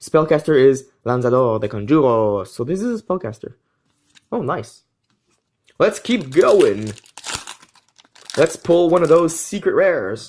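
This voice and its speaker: Speaking with a French accent, a man uses a fairly high pitch, very wide pitch swings and long, frequent pauses. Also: fairly slow pace. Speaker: trading card game YouTuber. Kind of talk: pack opening video, casual commentary.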